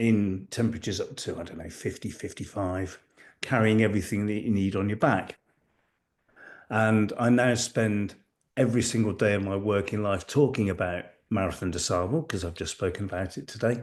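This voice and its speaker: Against a quiet background, a man talks at a moderate pace with a fairly low pitch and ordinary pitch variation. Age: 60s. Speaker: ultra-marathon coach. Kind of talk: podcast interview. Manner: halting.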